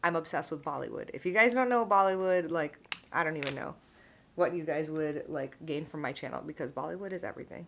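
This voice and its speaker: With an unremarkable speaking voice, this woman's pitch sits fairly low, and its rise and fall is ordinary. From United States, Indian-American. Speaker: vlogger, pharmacist. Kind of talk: casual chat, get ready with me vlog.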